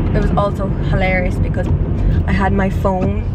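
A woman's voice sounds dry with no echo, over loud background noise. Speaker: vlogger. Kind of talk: casual vlog chat. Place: car. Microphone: camera far.

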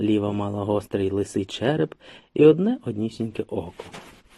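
Lively intonation in an unforced reading voice.

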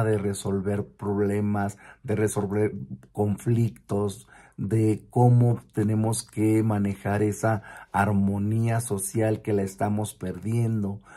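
Against a quiet background, a man speaks very slowly in a monotone, flat delivery. His fairly low voice has a dark, mellow tone. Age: 50s. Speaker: vlogger who works with children; vlogger. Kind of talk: personal reflection monologue. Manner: hesitant, with fillers and repetitions. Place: home room. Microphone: phone near.

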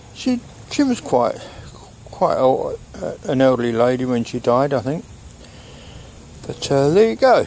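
A man at a fairly slow pace, dry sound with no echo. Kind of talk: casual vlog commentary. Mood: reflective, slightly sad. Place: open country. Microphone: phone near.

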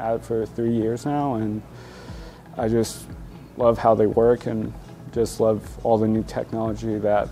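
A man's monotone, flat delivery at a fairly slow pace, with faint music in the background. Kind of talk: interview answer. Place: shop. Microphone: lapel.

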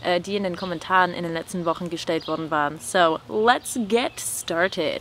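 A woman speaks at a moderate pace in a dry sound with no echo, with light background noise. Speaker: YouTuber and language tutor. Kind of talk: casual chat. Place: garden.

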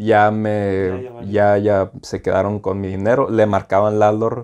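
Against a quiet background, a man talks in a fairly low voice with a dark, mellow tone. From Mexicali, Baja California, Mexico; Baja California, Mexico. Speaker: student; interview guest. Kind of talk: casual chat. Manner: casual, halting. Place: home room. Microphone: lapel.

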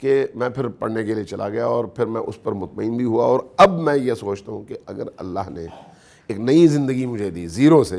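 Lively intonation marks this man's dark, mellow tone. He keeps a moderate pace. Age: 50s. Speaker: Shia religious scholar; guest. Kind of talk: interview. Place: studio.

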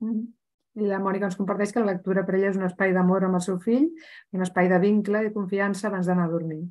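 A woman speaks at a very fast pace. Her medium pitch stays fairly even in intonation. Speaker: webinar organizer/moderator. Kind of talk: webinar introduction. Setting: video call webinar.

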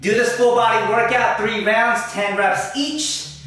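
A man speaks at a moderate pace with a high pitch and ordinary pitch variation. Strong echo fills the room around him. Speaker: fitness coach. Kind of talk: casual vlog outro. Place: home room. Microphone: camera far.

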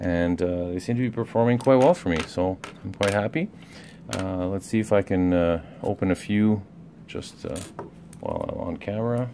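Speaking at a moderate pace with long, frequent pauses, a man uses a fairly low pitch and ordinary pitch variation over noticeable background noise. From Canada. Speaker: lockpicking hobbyist reviewer. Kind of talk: product review and demonstration. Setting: at work during a break. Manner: halting, many fillers.

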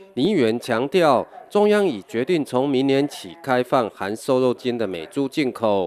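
In a very clean recording with a silent background, a man talks at a fairly slow pace. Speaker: news reporter. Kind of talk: news report voiceover.

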